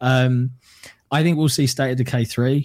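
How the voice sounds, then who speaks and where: Spoken at a fairly quick pace, the voice has a dark, mellow tone. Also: man. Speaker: content creator. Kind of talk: casual chat.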